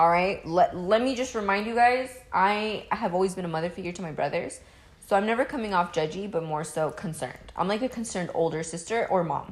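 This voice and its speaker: A woman with a medium pitch and ordinary pitch variation talks in an animated tone against noticeable background noise. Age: 20s. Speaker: podcast co-host. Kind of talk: casual chat.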